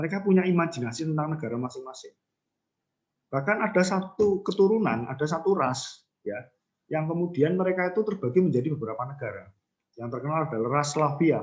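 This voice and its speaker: Amid audible room echo, a man races along at a very fast pace with a fairly high pitch and lively intonation. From Central Java, Banyumasan (ngapak) area. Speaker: university lecturer. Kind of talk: lecture. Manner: casual conversational, many fillers.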